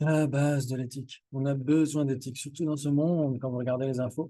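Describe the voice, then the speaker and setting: A man's fairly high-pitched voice, dark and mellow in tone, at a moderate pace. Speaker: Buddhist teacher. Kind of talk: dharma teaching to a group. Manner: animated.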